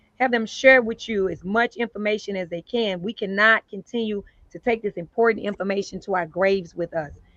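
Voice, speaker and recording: A woman's medium-pitched voice, animated in tone, with ordinary pitch variation and a fairly quick pace, in a dry, close sound with no echo. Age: 60s. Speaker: community advocate. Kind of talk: public talk.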